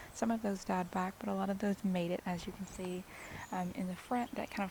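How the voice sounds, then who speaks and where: There is some breathiness in this voice. The intonation remains fairly level throughout. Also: woman. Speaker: cut flower gardener. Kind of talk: casual garden tour talk to camera. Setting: outdoors.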